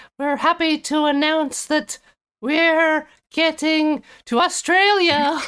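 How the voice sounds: A woman performs a put-on character voice. It is high in pitch and fairly slow in pace.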